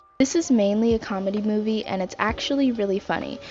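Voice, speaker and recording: Over noticeable background noise, a woman talks at a very fast pace. Her voice sits at a medium pitch with ordinary pitch variation. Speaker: movie reviewer. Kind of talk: casual movie review to camera.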